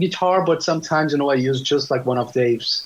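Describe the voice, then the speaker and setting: A man talks at a very fast pace amid noticeable background noise. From Brazil, São Paulo. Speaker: jazz guitarist. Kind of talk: casual interview chat. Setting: remote call with delay. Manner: halting, many fillers and repetitions.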